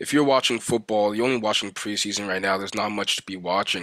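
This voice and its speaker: A man speaks with a fairly low pitch and a bright, sharp tone. The recording is very clean, with a silent background. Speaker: sports commentator. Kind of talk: sports commentary vlog. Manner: fast.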